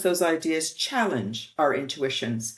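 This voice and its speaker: A woman with a slight French Canadian accent, a moderate pace and very wide pitch swings. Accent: little trace of French Canadian. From Quebec, Montreal. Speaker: bioethicist. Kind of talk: interview.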